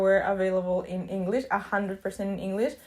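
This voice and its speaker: With a Spanish accent, a woman talks at a moderate pace. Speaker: YouTuber, student. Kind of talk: casual vlog talk.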